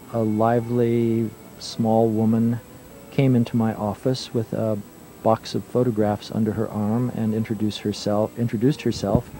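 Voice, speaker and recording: Music plays behind a man who speaks in a monotone, flat intonation, the sound dry with no echo. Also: moderate pace. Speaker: museum photography curator. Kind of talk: speech at an event. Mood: calm, reflective. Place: studio.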